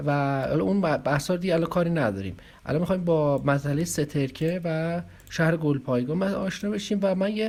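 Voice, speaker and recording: Speaking at a very fast pace, a man with fairly high pitch keeps very even loudness and ordinary pitch variation. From Iran, Arak. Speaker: online video commentator. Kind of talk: casual video commentary. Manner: halting.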